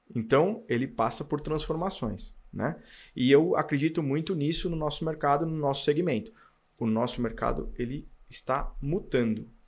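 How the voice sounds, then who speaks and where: Recorded very cleanly against a silent background, a man with an ordinary speaking voice and a fairly high pitch talks at a moderate pace with lively intonation. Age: 40s. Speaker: car dealership owner and auto industry executive. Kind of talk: casual interview chat.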